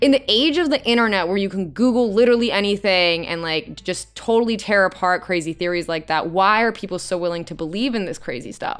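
In an ordinary speaking voice, a woman of medium pitch talks at a fairly quick pace with lively intonation and hardly any pauses. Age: 30s. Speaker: podcast host. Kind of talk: casual interview.

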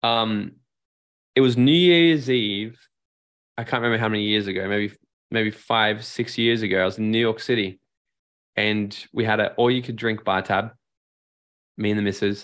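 A man with an Australian accent, fairly low in pitch, at a moderate pace with ordinary pitch variation and long, frequent pauses. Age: 30s. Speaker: life and business strategist. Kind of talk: casual interview.

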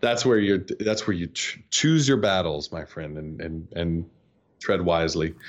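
A man with an American accent speaks at a very deep, low pitch and a fairly slow pace. His loudness swings widely. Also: ordinary pitch variation. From US South (North Georgia). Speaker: SEO agency CEO. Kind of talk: interview.

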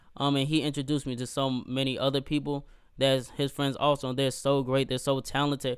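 A man with a fairly high pitch talks at a fairly quick pace in a monotone, flat intonation. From North Carolina (Gastonia), US South. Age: 20s. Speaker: poet and musician. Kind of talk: interview.

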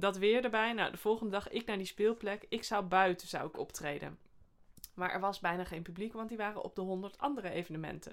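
At a fairly quick pace, a woman speaks in an unremarkable speaking voice at medium pitch, with ordinary pitch variation. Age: 40s. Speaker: comedian and sketch podcast host. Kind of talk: casual chat.

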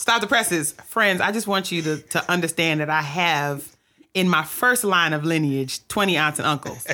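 Her tone is animated and her pitch fairly low for a woman. She keeps a moderate pace. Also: ordinary pitch variation. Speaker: podcast host. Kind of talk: casual interview chat. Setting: studio.

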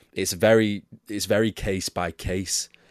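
A man with an English accent is heard with a dry, close sound and no echo. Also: quiet background. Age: 20s. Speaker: football pundit. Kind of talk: casual chat.

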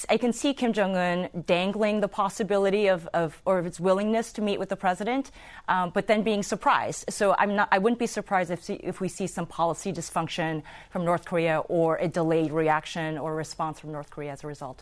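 At a fairly quick pace with hardly any pauses, a woman with a medium pitch talks in an ordinary speaking voice. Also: lively intonation. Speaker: national security expert. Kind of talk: panel discussion.

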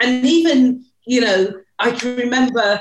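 A high-pitched woman's voice with a British accent and ordinary pitch variation. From UK. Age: 50s. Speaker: podcast co-host. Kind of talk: personal storytelling.

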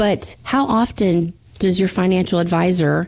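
A woman's fairly low, dark, mellow voice with an American accent and fairly even intonation. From Florida Panhandle. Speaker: financial advisor. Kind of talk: casual chat.

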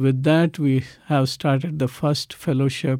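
A man with a dark, mellow tone and fairly even intonation. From South India. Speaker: ministry leader. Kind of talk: testimony. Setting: studio.

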